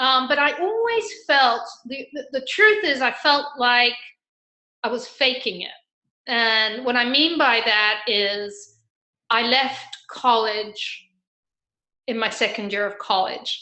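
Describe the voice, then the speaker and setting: A woman speaks very slowly in a high voice, leaving long, frequent pauses. Her pitch varies in an ordinary way. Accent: English. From England, raised also in Argentina. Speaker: financial advisor, former corporate sales. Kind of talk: interview conversation.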